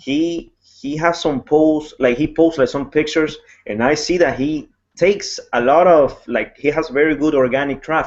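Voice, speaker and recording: Here a man talks with a Spanish accent at a moderate pace. His pitch is fairly high and his intonation fairly even. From Ecuador. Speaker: network marketing blogger. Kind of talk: casual chat. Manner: halting.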